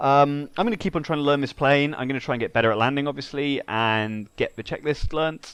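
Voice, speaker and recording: With a normal speaking voice, a man talks at a fairly quick pace with hardly any pauses, a fairly high pitch and ordinary pitch variation, over a quiet background. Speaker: flight sim video creator. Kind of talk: gameplay commentary.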